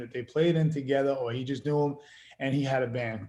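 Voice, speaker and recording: A man in a New York accent, with fairly even intonation. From Queens, New York. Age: 40s. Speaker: actor and musician. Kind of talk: casual interview.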